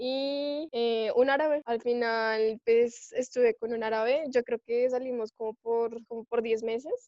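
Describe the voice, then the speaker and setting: Fairly slow, monotone delivery with flat intonation and hardly any pauses. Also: woman, high pitch for a woman. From Colombia. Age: 20s. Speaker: former exchange student. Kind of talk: casual chat. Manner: hesitant, many fillers.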